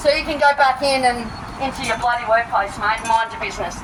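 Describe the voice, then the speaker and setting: A loud woman with an Australian accent and a high pitch, fairly quick pace, audible room echo and noticeable background noise. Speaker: protester. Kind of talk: street protest confrontation. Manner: animated.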